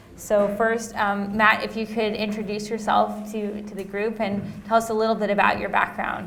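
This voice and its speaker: A woman with an American accent talks at a moderate pace with hardly any pauses and a fairly high pitch. Her intonation is monotone and flat, with audible room echo around her. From US West Coast. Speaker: panel moderator, researcher. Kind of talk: panel discussion.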